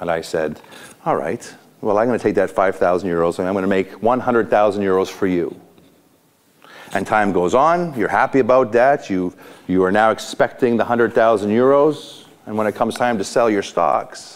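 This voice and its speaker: Fairly low in pitch, a man talks at a moderate pace with ordinary pitch variation. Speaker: motivational speaker, coach. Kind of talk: motivational talk to a group. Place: hall. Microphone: lapel.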